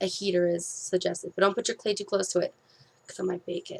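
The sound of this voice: A woman puts on a raspy, hoarse character voice at medium pitch, talking very fast in a flat monotone with big swings in loudness.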